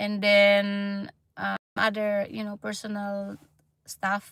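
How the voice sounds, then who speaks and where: Speaking very slowly in a Filipino accent, a woman has a medium pitch and a bright, sharp tone. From Philippines. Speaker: nurse and vlogger. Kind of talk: livestream chat. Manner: halting.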